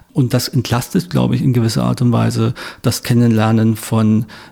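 A man's dark, mellow, somewhat breathy voice comes at medium pitch and a moderate pace. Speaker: sociologist. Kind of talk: interview. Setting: studio in Berlin.

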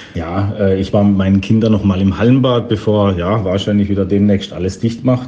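Against noticeable background noise, a man with a fairly low pitch keeps very even loudness and fairly even intonation with hardly any pauses. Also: moderate pace. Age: 40s. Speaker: caller sending a voice message. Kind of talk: recorded voice message anecdote. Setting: recorded voice message.

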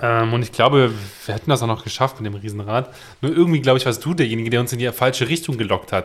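Medium in pitch, this man's voice moves with ordinary variation. His delivery runs at a very fast pace. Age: 20s. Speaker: podcast co-host. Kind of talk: casual chat.

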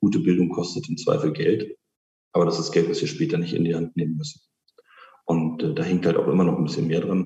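Speaking at a fairly quick pace, a man has a very deep, low pitch and a dark, mellow tone. His intonation is fairly even, broken by long, frequent pauses. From Berlin-Spandau, Germany. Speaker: politician. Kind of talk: interview.

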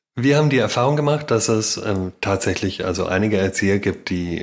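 A man speaks in a plain, everyday voice, his fairly low pitch showing ordinary pitch variation. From Baden-Württemberg, Germany. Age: 40s. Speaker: daycare founder and business consultant. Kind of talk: casual interview.

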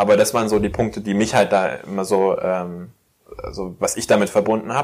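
Keeping a moderate pace, a man with an unremarkable speaking voice varies his pitch in an ordinary way. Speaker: podcast host. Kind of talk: casual interview chat.

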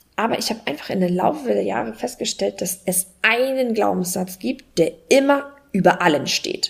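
Her pitch swings very widely around a medium level. The woman keeps a moderate pace. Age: 30s. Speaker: online entrepreneur, travelling mother. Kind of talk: casual interview chat.

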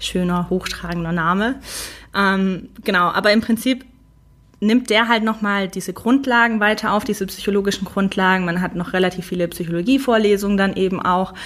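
Very clean recording with a silent background, featuring a woman at medium pitch, fairly quick, with fairly even intonation. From Stuttgart area, Swabia. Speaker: UX researcher. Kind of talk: interview. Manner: structured.

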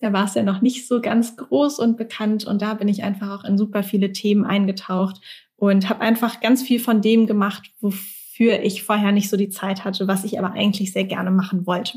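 A woman speaks at a moderate pace with hardly any pauses, her voice somewhat breathy and medium in pitch. Her intonation stays fairly even. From Germany, Mannheim. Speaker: career coach. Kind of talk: casual interview.

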